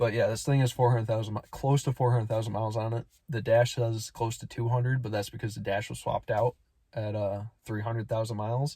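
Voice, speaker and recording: A dark, mellow, somewhat breathy voice in a flat monotone at a very fast pace, in a very clean recording with a silent background. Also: man, medium pitch for a man. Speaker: vlogger. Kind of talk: casual vlog. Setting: outdoors. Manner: whispering.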